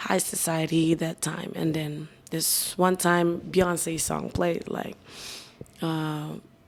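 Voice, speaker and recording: A woman speaks at a very slow pace in a fairly low pitch with monotone, flat intonation. Noticeable background noise can be heard. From Philippines, provincial. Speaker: nightclub MC. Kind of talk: podcast interview. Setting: hotel.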